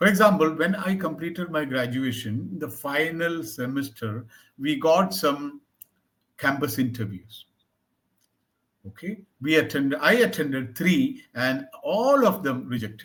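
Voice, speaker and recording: A man with a normal speaking voice, fairly high in pitch, lively in intonation and fairly slow in pace. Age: 60s. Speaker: English tutor. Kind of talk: one-on-one language lesson, conversational.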